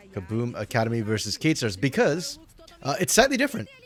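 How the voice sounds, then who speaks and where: Very fast male speech with very wide pitch swings over music in the background. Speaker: esports caster. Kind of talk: live game commentary stream. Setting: live stream. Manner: casual, conversational.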